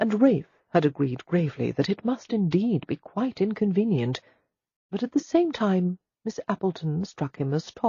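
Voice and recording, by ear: Reading aloud in a natural voice, with lively intonation, against a quiet background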